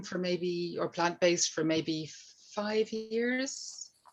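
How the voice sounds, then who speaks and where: A fairly low-pitched woman's voice, bright and sharp, with fairly even intonation at a fairly slow pace. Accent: Irish. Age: 50s. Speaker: guest. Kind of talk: casual chat.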